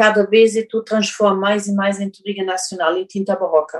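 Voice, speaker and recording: A woman with a German accent speaks at a medium pitch with fairly even intonation. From Germany. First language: German (speaking Portuguese). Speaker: winemaker and business owner. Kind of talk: interview. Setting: video call. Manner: halting.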